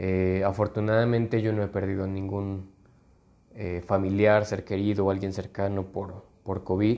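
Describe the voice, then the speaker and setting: Monotone and flat in intonation, a man speaks with a fairly low pitch and a dark, mellow tone. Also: fairly slow pace. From Mexico, Guanajuato. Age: 20s. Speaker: podcast host, lawyer. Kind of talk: casual monologue. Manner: hesitant, many fillers.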